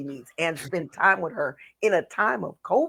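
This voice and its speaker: On a very clean recording with a silent background, a woman speaks in an ordinary speaking voice, fairly low in pitch, at a moderate pace. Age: 60s. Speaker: blues singer and radio host. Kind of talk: casual chat.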